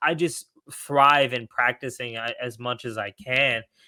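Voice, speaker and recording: The tone is bright and sharp. The recording is very clean with a silent background, dry and close with no echo. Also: man. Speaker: startup founder. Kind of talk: podcast interview. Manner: fast when excited.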